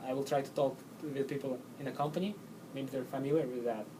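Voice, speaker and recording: A man speaks at a medium pitch with fairly even intonation. Noticeable background noise and audible room echo are present. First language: not English. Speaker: job interview candidate. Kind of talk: job interview answers. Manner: halting.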